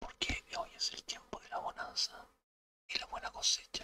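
Whispering, a man speaks at a very slow pace. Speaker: tarot reader. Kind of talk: tarot reading, ASMR-style zodiac sign readings. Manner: soft-spoken, whispered.

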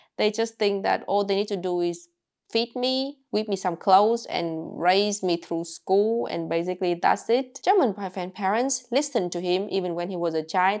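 Lively intonation from a woman with a Vietnamese accent over a quiet background. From rural Vietnam. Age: 20s. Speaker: YouTuber. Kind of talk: casual vlog storytelling. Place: home room. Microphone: lapel.

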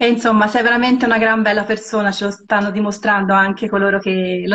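A woman's fairly high voice at a very fast pace over a quiet background. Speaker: interviewer. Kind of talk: casual interview. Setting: video call. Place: home room. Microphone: phone near.

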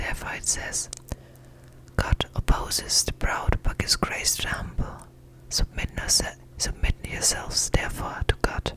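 The speech is whispered, moving at a moderate pace. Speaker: ASMR Bible reader. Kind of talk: ASMR Bible reading. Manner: whispered, close-up. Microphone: studio mic.

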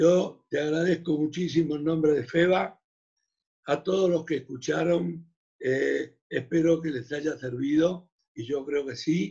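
Over a quiet background, a man talks at a fairly slow pace with a fairly high pitch, a dark, mellow tone and fairly even intonation. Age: 70s. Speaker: chamber of commerce president; host of federation webinar. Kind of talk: closing remarks. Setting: video call. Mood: grateful, warm. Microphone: video call.

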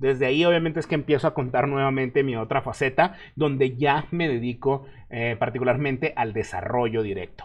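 A man speaks at a fairly quick pace with hardly any pauses, in a plain, everyday voice. His pitch is medium, with ordinary pitch variation. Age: 30s. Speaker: web developer and online instructor; online instructor. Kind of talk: live stream Q&A. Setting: live stream. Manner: casual. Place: home room.

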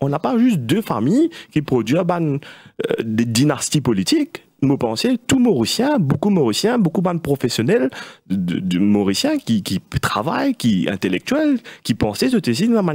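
A somewhat breathy man's voice, fairly high-pitched, with very wide pitch swings, very even loudness, a fairly slow pace and long, frequent pauses over a quiet background. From Mauritius. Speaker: party vice-president; guest. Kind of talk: political debate interview. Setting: studio. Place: studio. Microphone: studio mic.

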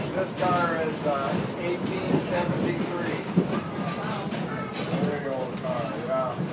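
A man talks fairly slowly through loud background noise. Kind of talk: casual explanation to passengers. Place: train. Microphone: camera far.

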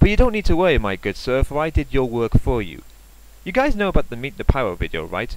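Vocal fry runs through this man's medium-pitched voice. He talks at a very fast pace, with very wide pitch swings. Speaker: commentary YouTuber. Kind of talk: sarcastic commentary video reacting to a rant clip. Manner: sarcastic, mocking.

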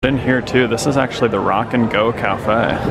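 A man talks at a moderate pace. Loud background noise runs underneath. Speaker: travel vlogger. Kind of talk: casual vlog chat. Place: cafe. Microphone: phone near.

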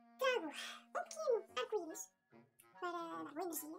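A woman's extremely high-pitched voice over faint background music. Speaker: children's book author and illustrator. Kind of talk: children's story reading. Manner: lively, engaging, addressing children. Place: home room.

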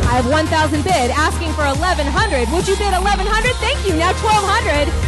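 A woman with an American accent talks at a very fast pace over loud background music. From Portland, Oregon. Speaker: benefit auctioneer. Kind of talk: charity auction bid calling. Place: hall.

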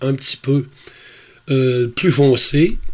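A man talks at a very slow pace. His fairly high voice sounds somewhat breathy. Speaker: astrophotography YouTuber. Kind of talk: tutorial.

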